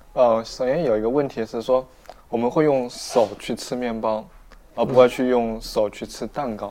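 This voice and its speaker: At a moderate pace, an ordinary speaking voice talks with fairly even intonation. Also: man, medium pitch for a man. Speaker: sociology graduate student. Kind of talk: casual chat. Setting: restaurant cafe.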